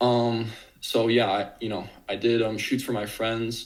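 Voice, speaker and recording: A man speaks with a Midwestern American accent at a fairly low pitch. Audible room echo surrounds his voice. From US Midwest, Chicago suburbs. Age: 20s. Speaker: college student and photography content creator. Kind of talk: casual interview.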